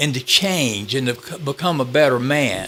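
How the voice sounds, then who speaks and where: Speaking at a moderate pace with a Georgia accent, a man uses a fairly high pitch that swings very widely. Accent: Georgia twang. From Southwest Georgia, US. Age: 70s. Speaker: author. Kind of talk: interview testimony.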